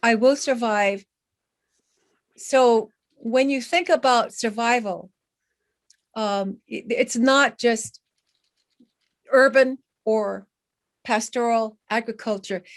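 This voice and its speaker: A woman's fairly high voice at a very slow pace, with ordinary pitch variation and long, frequent pauses. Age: 70s. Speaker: community member. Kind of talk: public meeting comment. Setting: video call. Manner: halting.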